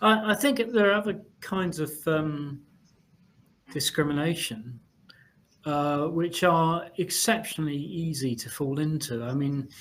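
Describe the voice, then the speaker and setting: A man with an unremarkable speaking voice talks fairly slowly at a fairly high pitch, using lively intonation. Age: 60s. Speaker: communications director presenting a webinar. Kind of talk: webinar panel discussion. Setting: webinar.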